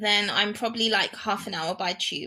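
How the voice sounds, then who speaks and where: The speaker is a woman with a British accent. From England. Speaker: world traveler. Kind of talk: casual interview.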